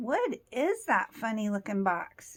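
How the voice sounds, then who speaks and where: A woman does a put-on character voice at a fairly high pitch. Her pace is fairly slow. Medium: read story. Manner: playful, demanding.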